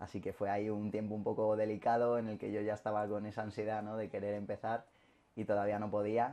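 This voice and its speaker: A man talks very fast in a fairly low pitch with a dark, mellow tone. His intonation stays monotone and flat. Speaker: interviewee. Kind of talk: interview answer. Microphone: camera far.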